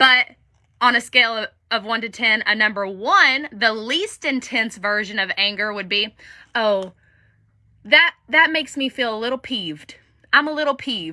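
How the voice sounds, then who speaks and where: A woman speaks with a bright, sharp tone and a fairly high pitch at a moderate pace. Her intonation is lively and her tone animated. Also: very clean recording, silent background. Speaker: life coach. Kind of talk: live stream talk.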